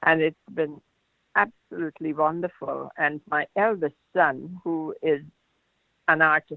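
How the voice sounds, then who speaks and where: A woman's voice, very deep and low in pitch. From Guyana. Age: old. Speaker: fashion designer. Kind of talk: casual chat. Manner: halting. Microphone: network issues.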